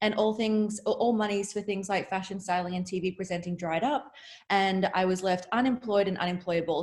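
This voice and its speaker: A woman's medium pitch in an Australian accent, at a fairly quick pace. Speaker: entrepreneur and reality TV star. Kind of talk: interview.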